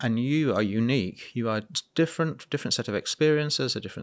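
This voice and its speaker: A man with a British accent at a fairly quick pace, ordinary pitch variation, in a very clean recording with a silent background. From UK. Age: 50s. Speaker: entrepreneur and children's welfare campaigner. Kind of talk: interview conversation. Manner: halting with frequent repetitions.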